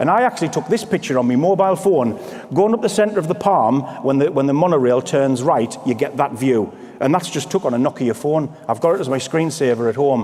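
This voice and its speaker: Against noticeable background noise, a man speaks fairly quickly at a fairly high pitch with lively intonation. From northeast England. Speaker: motivational speaker at sales conference. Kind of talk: motivational keynote speech. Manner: animated.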